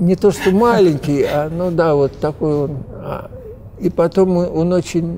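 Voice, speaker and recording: Noticeable noise sits behind the recording. The man's pitch varies in an ordinary way. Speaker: literary translator. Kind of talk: casual chat. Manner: halting.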